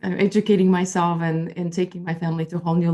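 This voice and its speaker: Speaking very fast, a woman with a slight Polish accent has a very deep, low voice and a dark, mellow tone. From Poland, moved to US as a teenager. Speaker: intuitive life coach. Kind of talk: interview. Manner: halting, many fillers.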